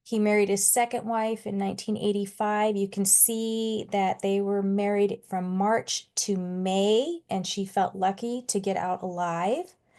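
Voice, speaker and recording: A woman with a plain, everyday voice speaks at a medium pitch and a fairly slow pace with hardly any pauses, against a quiet background. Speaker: domestic violence task force presenter. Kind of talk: community presentation. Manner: conversational with many fillers.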